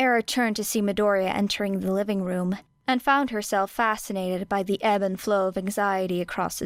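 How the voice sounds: Fairly even intonation in a natural reading voice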